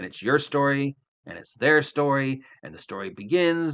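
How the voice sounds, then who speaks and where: Over a quiet background, a man talks at a moderate pace in a fairly high pitch with a bright, sharp tone. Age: 60s. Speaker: veteran tabletop game master. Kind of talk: interview. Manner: animated.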